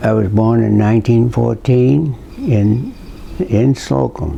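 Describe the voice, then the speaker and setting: With a Rhode Island accent, a speaker talks at a very slow pace with lively intonation over noticeable background noise. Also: man. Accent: Rhode Island New England. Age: 80s+. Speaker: local elder. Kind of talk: oral history interview. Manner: halting.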